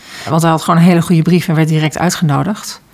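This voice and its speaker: A woman's fairly low voice at a very fast pace, with noticeable background noise. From North Brabant, Netherlands. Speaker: school internship coordinator. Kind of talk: interview.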